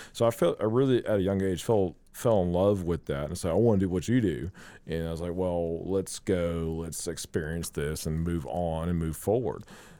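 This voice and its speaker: In a Southern US accent, a man speaks at a moderate pace with a very deep, low pitch, a dark, mellow tone and ordinary pitch variation. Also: very clean recording, silent background. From US South (South Carolina). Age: 30s. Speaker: beer sales rep. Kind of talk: casual interview chat.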